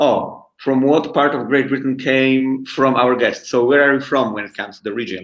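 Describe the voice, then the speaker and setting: Speaking in a Polish accent, a man with a medium pitch talks at a moderate pace with hardly any pauses and fairly even intonation. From Poland. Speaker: English school founder, webinar host. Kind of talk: online English lesson. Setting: live webinar.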